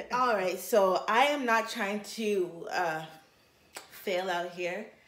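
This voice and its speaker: With a bright, sharp tone, a woman talks at a very slow pace with ordinary pitch variation amid audible room echo. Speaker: food vlogger. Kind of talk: casual vlog chat. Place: kitchen. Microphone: camera far.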